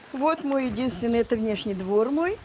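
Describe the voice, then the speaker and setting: With noticeable background noise behind her, a woman talks at a moderate pace. Her tone is warm, and her intonation is lively. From Kamchatka, Russian Far East. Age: old. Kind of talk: interview answer. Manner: reflective, warm.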